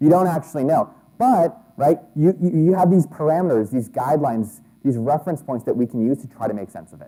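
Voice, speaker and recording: This man has a dark, mellow tone and a fairly high pitch. He speaks at a fairly quick pace with lively intonation. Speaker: conference speaker on SEO. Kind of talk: conference talk. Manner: fast.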